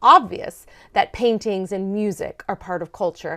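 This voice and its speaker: Someone with an American accent talks at a moderate pace in a very clean recording with a silent background. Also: woman. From Maryland, US. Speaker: sociology professor. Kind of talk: interview conversation.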